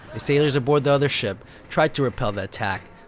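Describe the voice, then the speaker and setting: A man talks at a very fast pace in a dramatic tone. Noticeable background noise can be heard. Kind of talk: dramatic story reading.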